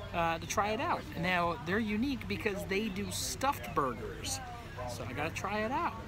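There is noticeable background noise. Over it, a man talks at a moderate pace. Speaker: food vlogger. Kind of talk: casual vlog chat. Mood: cheerful, upbeat. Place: street. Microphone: phone near.

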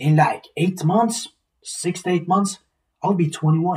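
A man with a high pitch speaks slowly, his slightly mellow tone carrying a husky, rough edge. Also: fairly even intonation.

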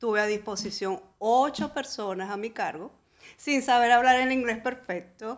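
A woman with a normal speaking voice talks at a fairly high pitch and a fairly slow pace, with ordinary pitch variation. The recording is very clean, with a silent background. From Venezuela. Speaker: real estate broker. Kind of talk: interview.

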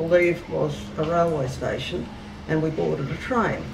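Over noticeable background noise, a woman talks at a fairly slow pace in a fairly low pitch with an Australian accent. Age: 60s. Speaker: contact experiencer and author. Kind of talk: interview answer.

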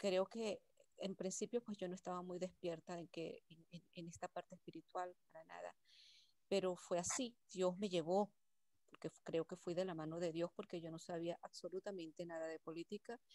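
A woman with a fairly low, dark, mellow voice speaks with fairly even intonation, the sound dry with no echo. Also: moderate pace, quiet background. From Venezuela. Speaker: workshop participant. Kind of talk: personal testimony. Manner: halting. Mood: reflective, grateful. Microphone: video call.

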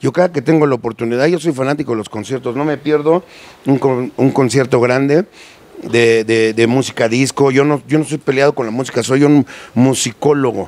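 A man with a Mexico City accent speaks at a moderate pace. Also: medium pitch for a man. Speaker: sound system owner. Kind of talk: casual interview. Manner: animated; halting. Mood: jovial, joking. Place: factory. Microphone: handheld.

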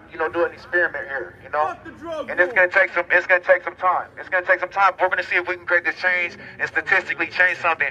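Over light background noise, a man speaks at a very fast pace in a monotone, flat intonation. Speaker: speaker. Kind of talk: rally speech. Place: street.

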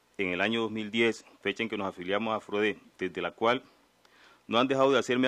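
An unremarkable speaking voice belongs to a man who speaks at a fairly quick pace with a fairly low pitch and fairly even intonation. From Colombia, Nariño (Pacific south). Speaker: community leader, law student. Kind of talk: testimony at formal hearing.

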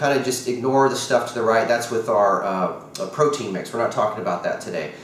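Over light background noise and audible room echo, a man talks at a fairly quick pace with ordinary pitch variation. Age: 40s. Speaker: product promoter; product seller. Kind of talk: sales pitch. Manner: casual. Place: kitchen. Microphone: camera far.

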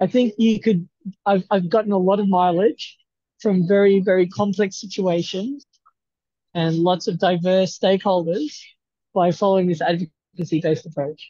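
The voice is a man's, high-pitched, with an Australian accent. The sound is dry with no echo. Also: fairly even intonation, moderate pace, quiet background. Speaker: research institute staff; presenter. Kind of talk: video call meeting. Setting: video call from a university campus. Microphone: video call.

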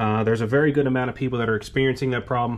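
A man's intonation stays fairly even as light background noise sits behind him. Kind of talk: tutorial. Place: garage. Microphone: phone near.

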